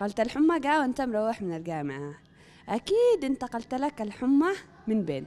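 This voice has a dark, mellow tone and a moderate pace. Its pitch swings very widely. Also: woman, high pitch for a woman. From Yemen. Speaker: TV news reporter. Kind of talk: humorous street interview questions. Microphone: handheld.

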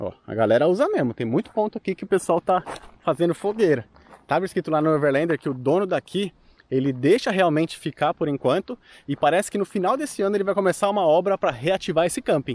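A man talks at a very fast pace in a high voice with lively intonation. The sound is dry, with no echo. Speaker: travel vlogger. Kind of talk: casual vlog chat. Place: open country. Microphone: phone near.

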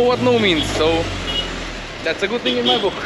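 With music playing in the background, a man speaks at a moderate pace in a dry recording with no echo. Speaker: travel vlogger. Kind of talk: casual vlog chat. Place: street. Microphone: phone near.

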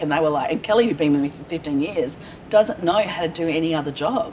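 A woman with an Australian accent talks at a very fast pace in a very deep, low voice with ordinary pitch variation, over light background noise. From Perth, Western Australia; Western Australia. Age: 40s. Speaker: small business owner; guest. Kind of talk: casual interview. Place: hall.

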